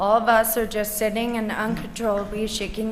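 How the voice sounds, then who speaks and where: A woman at medium pitch and a moderate pace, with audible room echo and noticeable background noise. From US West Coast, Los Angeles. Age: 20s. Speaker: patient speaker. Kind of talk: prepared testimony.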